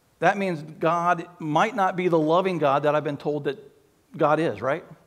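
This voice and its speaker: Against a quiet background, a man speaks fairly slowly with ordinary pitch variation. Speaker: pastor. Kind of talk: sermon. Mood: earnest, reflective. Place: church. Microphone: headset.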